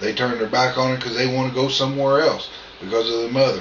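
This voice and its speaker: Set against noticeable background noise and audible room echo, a man with an American accent talks at a medium pitch with fairly even intonation. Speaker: vlogger. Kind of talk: casual vlog monologue. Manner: loud.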